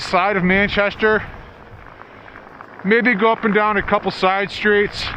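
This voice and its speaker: Projecting a raised voice, a man with high pitch speaks at a moderate pace, monotone and flat, at very even loudness. Long, frequent pauses break his speech amid noticeable background noise. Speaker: video blogger. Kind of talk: vlog narration. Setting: outdoors, riding a bike in a blizzard.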